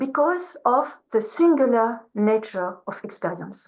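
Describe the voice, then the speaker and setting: With a French accent, a woman talks at a fairly slow pace in a high voice, her intonation lively. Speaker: researcher, keynote speaker. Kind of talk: academic lecture. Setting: video call to conference room.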